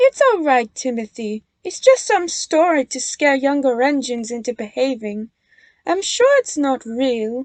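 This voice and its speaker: At a moderate pace, a woman performs a put-on character voice with a high pitch. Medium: read story. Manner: firm, assertive.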